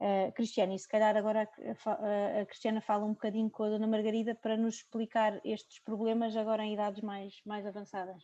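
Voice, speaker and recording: A woman talks at a fairly quick pace with hardly any pauses, using a monotone, flat intonation, a fairly high pitch and a dark, mellow tone. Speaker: neurologist, sleep medicine specialist. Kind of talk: video conference panel discussion. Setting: video call.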